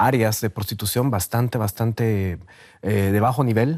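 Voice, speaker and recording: Dark and mellow, a man's voice moves through ordinary shifts in pitch. The background is silent and the recording very clean. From Guatemala. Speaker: sociologist and documentary maker. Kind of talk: TV interview. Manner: halting, many repetitions and fillers.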